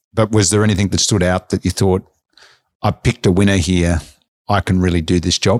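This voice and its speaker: A man with a very deep, low pitch talks at a fairly quick pace, with fairly even intonation, very even loudness and long, frequent pauses. The very clean recording has a silent background and a dry, close sound with no echo. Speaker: interviewer, finance podcast host. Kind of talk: interview.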